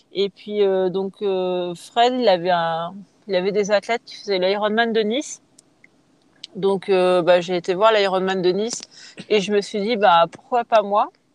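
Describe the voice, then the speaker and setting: Delivered at a very slow pace with long, frequent pauses, the speech has fairly even intonation and a dry, close sound with no echo. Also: woman, medium pitch for a woman. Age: 30s. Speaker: triathlete. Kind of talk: casual interview.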